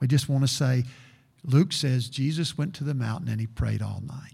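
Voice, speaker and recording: Somewhat breathy, a man speaks at a fairly slow pace, with a medium pitch and ordinary pitch variation. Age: 60s. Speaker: preacher. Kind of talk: sermon. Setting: church.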